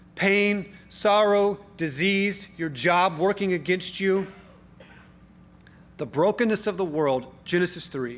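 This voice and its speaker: A man with a high voice speaks at a fairly slow pace with lively intonation amid audible room echo. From Tennessee. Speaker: pastor. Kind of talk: sermon. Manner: conversational, with filler and repeats.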